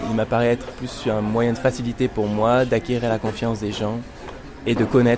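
A man's medium-pitched voice is heard with music playing behind him. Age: 30s. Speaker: sound creator, technician. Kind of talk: interview. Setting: home studio.

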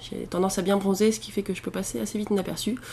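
A woman at a very fast pace, with fairly even intonation. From central France (Auvergne). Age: 20s. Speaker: traveller interviewee. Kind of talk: interview testimony.

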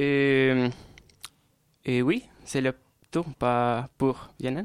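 A man speaks with a Spanish accent. The sound is dry and close, with no echo. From Colombia, Bogotá. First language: Spanish (speaking French). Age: 20s. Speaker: student. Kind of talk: radio interview. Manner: halting.

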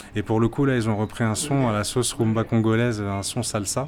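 Over noticeable background noise, a man talks at a fairly quick pace in a medium-pitched voice. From Martinique. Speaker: traveller. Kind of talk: interview. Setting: restaurant. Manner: halting.

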